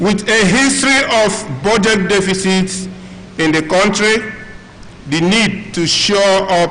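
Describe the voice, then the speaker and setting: The speech moves at a fairly slow pace with lively intonation, accompanied by noticeable background noise and audible room echo. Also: man, very even loudness. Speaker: professional body representative. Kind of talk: reading aloud.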